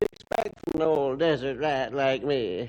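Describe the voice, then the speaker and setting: A put-on character voice, low-to-middle in pitch, at a moderate pace. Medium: old radio play. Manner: folksy, drawling, chuckling.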